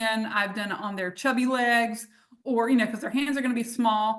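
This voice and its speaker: Bright and sharp in tone, this woman speaks with a Southern US accent at a fairly high pitch. Her intonation is fairly even. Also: quiet background. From US South, North Carolina. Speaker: essential oils business leader; presenter. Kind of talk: live webinar demonstration. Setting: livestream. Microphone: video call.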